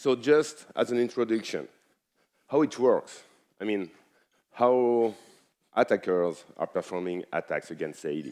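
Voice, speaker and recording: Speaking fairly slowly in a French accent, a man uses lively intonation at a medium pitch and leaves long, frequent pauses. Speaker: cybersecurity expert. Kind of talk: conference talk.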